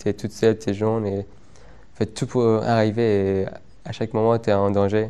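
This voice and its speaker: Speaking very slowly in an Afghan accent, a man uses a fairly low pitch and a dark, mellow tone with monotone, flat intonation. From Afghan, raised in Iran. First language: Dari Persian (speaking French). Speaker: former unaccompanied migrant. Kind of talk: interview testimony. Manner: halting, many repetitions.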